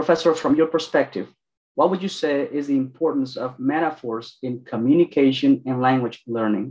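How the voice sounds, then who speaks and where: A man with a Spanish accent speaks over a quiet background. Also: ordinary pitch variation, moderate pace. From Mexico. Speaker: PhD student moderating a lecture; event host, moderator. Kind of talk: event moderation and Q&A. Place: office. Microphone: video call.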